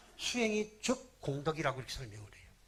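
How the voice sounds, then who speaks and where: This man's speech has lively intonation. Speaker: Buddhist monk. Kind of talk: sermon. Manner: fast.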